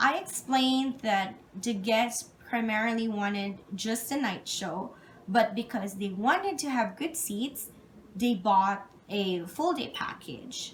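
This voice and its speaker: A woman with a non-native accent talks at a fairly slow pace, with long, frequent pauses. Her fairly high voice is somewhat breathy, with lively intonation. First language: not English. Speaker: job interview candidate. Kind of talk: job interview answers. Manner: halting; formal.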